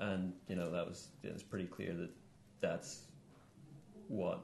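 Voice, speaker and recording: There is audible room echo as a man with a Northern Irish accent talks at a moderate pace with vocal fry. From Northern Ireland. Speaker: musician and political activist. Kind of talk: studio interview. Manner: hesitant, many fillers.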